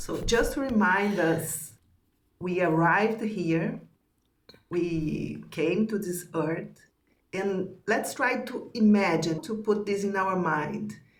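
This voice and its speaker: A very slow delivery with vocal fry, a non-native accent, ordinary pitch variation and audible room echo. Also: woman, medium pitch for a woman. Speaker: spiritual teacher. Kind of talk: teaching conversation.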